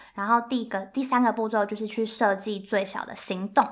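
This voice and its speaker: With a Taiwanese accent, a woman speaks at a fairly quick pace in a fairly high pitch with ordinary pitch variation. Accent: Taiwanese Mandarin. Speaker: graduate student and career-planning workshop co-founder. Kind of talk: casual interview.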